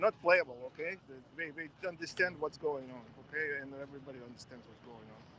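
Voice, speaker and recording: A fairly high-pitched man's voice in a strong Russian accent, bright and sharp in tone, with ordinary pitch variation and big swings in loudness. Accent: thick Russian. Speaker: protest supporter. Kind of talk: street interview.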